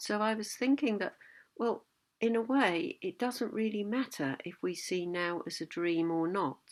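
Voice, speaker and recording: A woman speaks at a medium pitch with lively intonation and a calm tone, at a fairly slow pace. The recording is very clean, with a silent background. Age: 60s. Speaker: Buddhist teacher. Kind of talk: reflective talk. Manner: halting.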